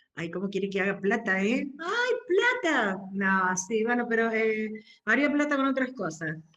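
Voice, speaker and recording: A woman talks at a fairly slow pace in a fairly high voice with lively intonation. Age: 60s. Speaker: workshop participant. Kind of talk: casual group discussion. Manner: halting, many fillers.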